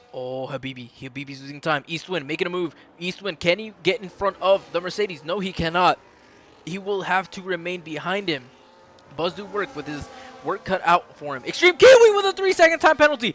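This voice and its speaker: A man's high-pitched voice, fairly quick and lively in intonation, with big swings in loudness over noticeable background noise. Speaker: sim racing league commentator. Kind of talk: live commentary. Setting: live stream. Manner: animated.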